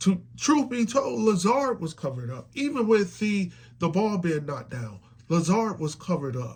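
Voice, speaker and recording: Animated in tone, a man speaks at a high pitch and moderate pace with very wide pitch swings. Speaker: sports fan commentator. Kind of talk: casual reaction monologue. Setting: at home. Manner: animated, repetitive stammering.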